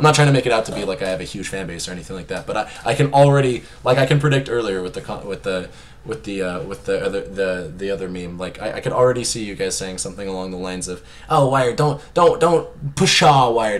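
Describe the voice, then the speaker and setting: A man speaks at a very fast pace with lively intonation and big swings in loudness. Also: medium pitch for a man. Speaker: gaming streamer and vlogger. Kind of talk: casual unscripted vlog monologue. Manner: halting, stuttering with many fillers; casual, rambling.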